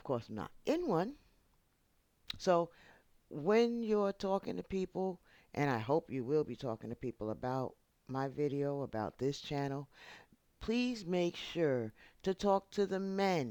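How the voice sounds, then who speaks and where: A dark, mellow tone at a fairly slow pace, with long, frequent pauses, very wide pitch swings, and big swings in loudness, on a very clean recording with a silent background. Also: woman, very deep, low pitch for a woman. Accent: New York. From New York. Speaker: YouTube channel host. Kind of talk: casual vlog monologue. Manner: animated.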